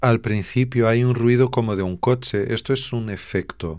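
On a very clean recording with a silent background, a man with a Portuguese accent speaks at a moderate pace with ordinary pitch variation. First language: Portuguese (speaking Spanish). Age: 40s. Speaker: fado singer and songwriter. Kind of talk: radio interview.

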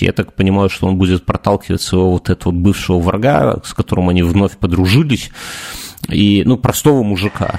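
In an ordinary speaking voice, a man with fairly low pitch and lively intonation speaks at a fairly quick pace, the sound dry and close with no echo. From Belarus. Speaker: podcast co-host. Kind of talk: casual chat.

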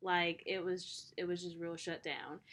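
On a very clean recording with a silent background, a woman speaks at a medium pitch with a bright, sharp tone. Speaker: podcast co-host. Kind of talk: casual chat.

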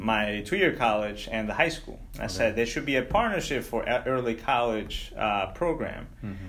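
Lively intonation with a Spanish accent at a moderate pace, with audible room echo. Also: man, medium pitch for a man. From Ecuador. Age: 30s. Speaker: local politician. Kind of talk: interview.

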